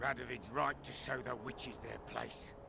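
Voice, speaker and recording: Someone performs a put-on character voice at a moderate pace. Loud background noise fills the recording. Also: man. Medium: video game. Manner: gruff.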